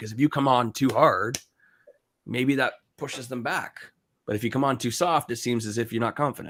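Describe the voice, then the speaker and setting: The speaker has an animated tone and a fairly quick pace on a very clean recording with a silent background. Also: man. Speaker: real estate investor on a panel. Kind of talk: live panel discussion. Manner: fast.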